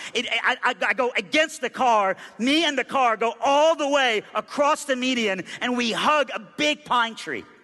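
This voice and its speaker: Raised and projected, a man's extremely high-pitched voice moves at a fairly slow pace with hardly any pauses and ordinary pitch variation. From Iran, raised in US South from age nine. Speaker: pastor. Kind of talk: sermon. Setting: church. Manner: animated.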